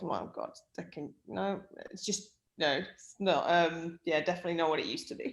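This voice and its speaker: A woman with an English Midlands accent, at a medium pitch and a very fast pace. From English Midlands, near Birmingham. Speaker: sports performance director. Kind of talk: casual chat.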